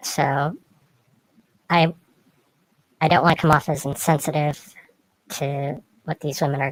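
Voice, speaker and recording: A shaky voice with monotone, flat intonation keeps a moderate pace in a dry, close sound with no echo. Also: woman. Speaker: video blogger. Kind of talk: opinion monologue. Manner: hesitant, many fillers.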